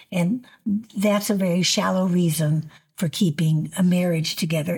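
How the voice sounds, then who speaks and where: In a very clean recording with a silent background, a woman speaks fairly slowly in a medium pitch, somewhat breathy, with fairly even intonation. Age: 70s. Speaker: ministry leader and podcast host. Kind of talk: interview. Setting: studio.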